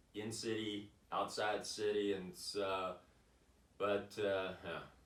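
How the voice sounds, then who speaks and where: With audible room echo, a man talks at a very slow pace in a fairly low voice and a monotone, flat delivery. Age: 60s. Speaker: vlogger, boulderer. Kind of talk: casual monologue vlog. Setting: home office. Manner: halting, many fillers.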